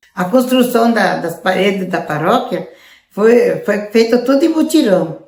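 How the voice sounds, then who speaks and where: A woman with a fairly high pitch sounds somewhat breathy and uses lively intonation. Audible room echo surrounds her voice. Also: fairly slow pace. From southern Brazil, Rio Grande do Sul (Passo Fundo area). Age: 80s+. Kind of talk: testimony.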